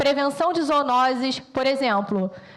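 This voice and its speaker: A woman speaks with a high pitch at a fairly slow pace. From Rio de Janeiro, Baixada Fluminense (Belford Roxo). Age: 40s. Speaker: military police officer and veterinarian. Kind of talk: presentation to audience.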